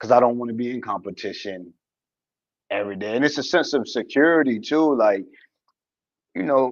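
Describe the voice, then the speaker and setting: Fairly quick pace from a man of medium pitch, with ordinary pitch variation and long, frequent pauses. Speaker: podcast co-host. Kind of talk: casual chat.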